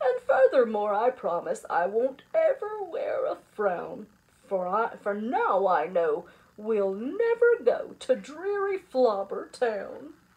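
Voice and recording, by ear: A woman in a put-on character voice, fairly high-pitched with a slightly husky edge, big pitch swings and a slow pace.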